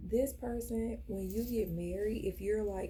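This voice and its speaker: A woman keeps a moderate pace while the room echoes audibly and noticeable noise sits in the background. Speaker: spiritual reader. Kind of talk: channelled spiritual message. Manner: calm; casual with fillers.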